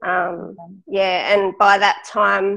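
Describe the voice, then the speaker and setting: A woman speaks in an Australian accent at a medium pitch with vocal fry. Her intonation is fairly even. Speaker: cystic fibrosis patient and lung transplant recipient, runner. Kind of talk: interview storytelling.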